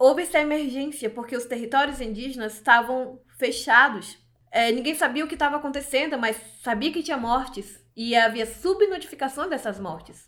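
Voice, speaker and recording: Her voice high-pitched and her intonation lively, a woman talks at a moderate pace. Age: 20s. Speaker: journalist. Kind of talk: interview testimony.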